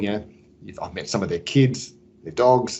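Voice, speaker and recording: Medium-pitched male voice with an Australian accent and ordinary pitch variation. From Sydney, Australia. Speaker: business executive. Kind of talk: interview.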